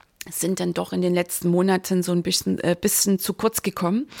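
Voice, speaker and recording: The recording is very clean with a silent background, capturing a woman speaking at a medium pitch. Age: 50s. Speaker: mindset and business coach, podcaster. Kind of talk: solo podcast monologue, year in review. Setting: home, recording alone with coffee. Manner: animated, enthusiastic.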